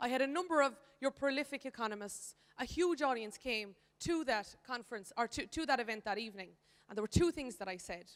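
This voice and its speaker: In an Irish accent, a woman talks at a very fast pace with lively intonation. Her pitch is high for a woman. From Ireland. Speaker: economist. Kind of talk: conference speech.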